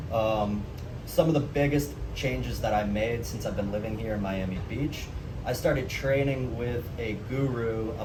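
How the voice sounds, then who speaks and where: With an American accent, a man speaks at a moderate pace and a fairly low pitch, using ordinary pitch variation. There is noticeable background noise and audible room echo. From US Northeast (Massachusetts). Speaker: vlogger. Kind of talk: casual vlog monologue.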